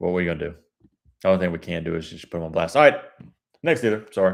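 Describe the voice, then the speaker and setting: In an American accent, a man with a very deep, low voice talks very fast, his loudness swinging widely, his pitch varying in an ordinary way, and his speech broken by long, frequent pauses. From Georgia, US South (Carrollton area). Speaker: car buying negotiator, livestreamer. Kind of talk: livestream with live phone negotiation. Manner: casual, friendly.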